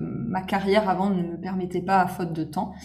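A woman's medium-pitched voice at a fairly quick pace, with audible echo from the room. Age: 30s. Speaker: content creator. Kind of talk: casual chat. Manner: animated.

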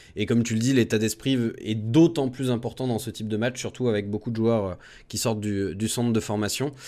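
Over a silent background in a very clean recording, a man with a medium pitch and a dark, mellow tone talks at a fairly quick pace with fairly even intonation. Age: 20s. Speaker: radio host, football supporters' show. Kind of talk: casual chat.

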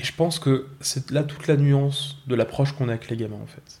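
At a fairly quick pace, a man speaks in a medium pitch with fairly even intonation. His voice is somewhat breathy. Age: 20s. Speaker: school education counsellor. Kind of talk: personal testimony.

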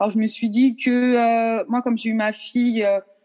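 In an unremarkable speaking voice, a woman talks at a fairly slow pace with a fairly high pitch. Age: 30s. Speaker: ballet teacher. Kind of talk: interview.

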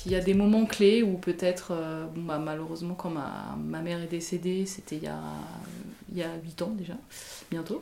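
A woman at a fairly low pitch with fairly even intonation and long, frequent pauses, amid noticeable background noise. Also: moderate pace. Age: 30s. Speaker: interviewee sharing her beliefs. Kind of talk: personal testimony. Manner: halting, many hesitations and repetitions.

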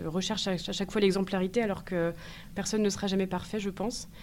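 A woman's medium-pitched voice moves at a fairly quick pace. Her intonation is fairly even. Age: 30s. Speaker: eco-anxiety support entrepreneur, former HR worker. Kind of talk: interview. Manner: hesitant, many fillers.

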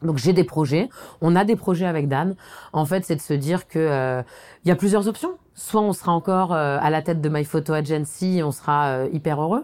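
Very deep and low in pitch, a woman speaks at a moderate pace. The recording is very clean, with a silent background. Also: ordinary pitch variation. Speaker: company co-founder. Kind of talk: reflective interview monologue. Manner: hesitant, with repetitions and fillers.

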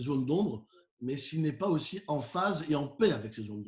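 A man's fairly high, normal speaking voice at a fairly quick pace. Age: 40s. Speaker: professional keynote speaker. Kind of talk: interview.

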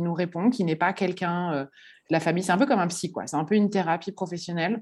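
Against a quiet background, a woman uses an ordinary speaking voice at a medium pitch with ordinary pitch variation. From Paris, France. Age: 30s. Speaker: florist. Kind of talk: interview.

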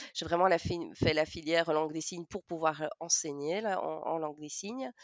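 A woman with a Belgian accent, moderate pace, ordinary pitch variation, dry, close sound with no echo. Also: quiet background. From Belgium, Namur. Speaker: teacher of deaf children and sign-song performer. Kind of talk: interview.

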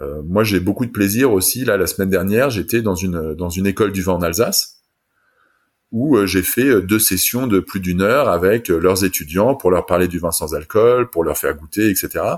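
A man with a plain, everyday voice, fairly low in pitch, with ordinary pitch variation and a moderate pace. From France. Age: 40s. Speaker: wine entrepreneur. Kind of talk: interview.

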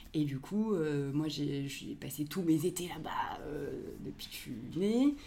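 This woman has a very deep, low pitch. Her pitch varies in an ordinary way. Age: 30s. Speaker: podcast creator, audiovisual production worker. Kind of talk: casual interview chat.

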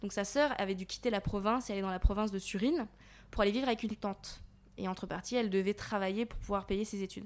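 A woman with a medium pitch speaks very fast and with fairly even intonation. The recording is very clean, with a silent background. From Paris region, France. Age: 20s. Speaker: volunteer aid worker. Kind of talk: interview. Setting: on location in Thailand.

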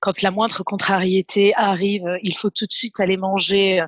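A woman's voice of medium pitch sounds dry and close, with no echo. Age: 30s. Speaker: program participant giving testimonial. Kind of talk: testimony. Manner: halting.

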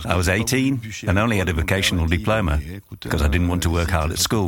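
A man speaks in a very deep, low voice with lively intonation. Noticeable background noise runs behind him. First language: French. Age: 60s. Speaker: retired wine grower. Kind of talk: interview storytelling.

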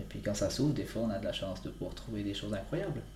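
Audible room echo surrounds a man with a very deep, low pitch who talks at a very fast pace. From Switzerland, Valais (Entremont valley). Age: 20s. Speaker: mountain guide and ski maker. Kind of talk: interview. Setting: his workshop. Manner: halting.

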